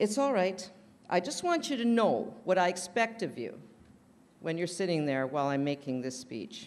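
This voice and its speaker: At a moderate pace, a woman with a fairly low pitch speaks loudly, her pitch swinging very widely. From Canada. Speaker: roaster. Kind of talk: stand-up. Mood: playful, teasing. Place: hall. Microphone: podium.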